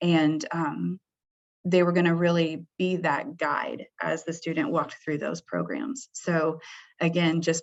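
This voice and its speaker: Using a plain, everyday voice, a woman speaks at a fairly low pitch and fairly slow pace with fairly even intonation. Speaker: senior director for healthcare programs. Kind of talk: webinar presentation. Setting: webinar.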